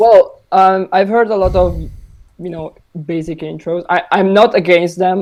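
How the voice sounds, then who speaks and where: A man's dark, mellow voice with an Italian accent, at a fairly slow pace. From Italy. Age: 20s. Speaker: music producer. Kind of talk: podcast interview. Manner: halting.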